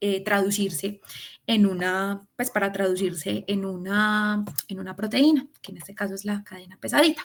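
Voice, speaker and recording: The woman's voice sits at a medium pitch with ordinary pitch movement. Her loudness swings widely from moment to moment. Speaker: student tutor. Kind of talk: lecture. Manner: fast.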